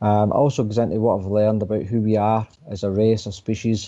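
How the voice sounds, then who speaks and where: Over a quiet background, a man with a Glaswegian accent speaks at a fairly quick pace, his fairly low pitch and dark, mellow tone paired with monotone, flat intonation. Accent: Glaswegian Scottish. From Scotland, Coatbridge near Glasgow. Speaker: author. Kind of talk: radio interview.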